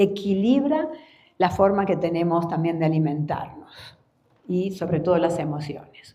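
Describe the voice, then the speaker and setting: With audible room echo, a woman in an Argentine accent speaks with ordinary pitch variation. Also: fairly low pitch for a woman, fairly slow pace. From Argentina. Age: 60s. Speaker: floral therapy teacher. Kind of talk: conference talk. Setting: conference hall with audience.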